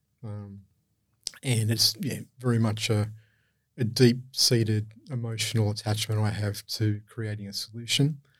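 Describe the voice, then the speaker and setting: A man speaks in a somewhat breathy voice with fairly even intonation, recorded very cleanly over a silent background. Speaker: charity CEO. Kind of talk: interview.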